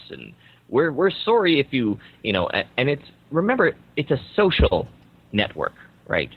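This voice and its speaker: Using vocal fry, a man with a Canadian accent swings his pitch very widely. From Canada. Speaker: marketing consultant and speaker. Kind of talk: interview.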